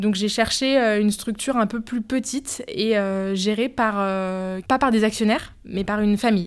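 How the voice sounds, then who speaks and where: A woman's plain, everyday voice, fairly high in pitch, with fairly even intonation and a fairly slow pace, on a very clean recording with a silent background. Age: 30s. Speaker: marketing manager. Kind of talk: interview.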